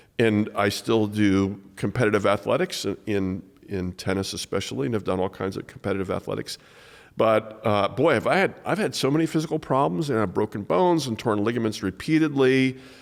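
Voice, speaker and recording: Fairly low in pitch, a man with an unremarkable speaking voice talks at a fairly quick pace with lively intonation in a very clean recording with a silent background. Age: 60s. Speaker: podcast host, pastor. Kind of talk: casual interview.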